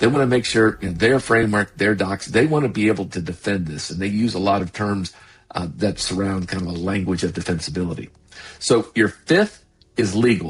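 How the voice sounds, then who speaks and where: Somewhat breathy, a man talks at a fairly quick pace and a fairly low pitch, with ordinary pitch variation. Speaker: sales consultant and podcast host. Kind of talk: podcast monologue. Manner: fast.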